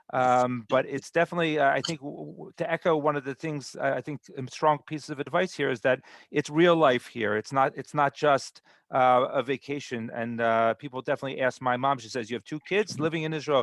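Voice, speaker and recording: An American-accented man with a fairly high pitch, a fairly quick pace, ordinary pitch variation and big swings in loudness, in a dry, close recording with no echo and a quiet background. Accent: American accent in Hebrew. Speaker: immigration program presenter. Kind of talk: online webinar talk. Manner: halting, many repetitions.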